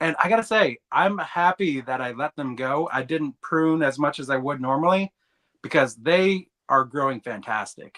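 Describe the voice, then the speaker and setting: In an ordinary speaking voice, a man talks at a moderate pace with lively intonation and a fairly high pitch. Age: 30s. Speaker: bonsai hobbyist co-host. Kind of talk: casual chat. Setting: livestream from home basement.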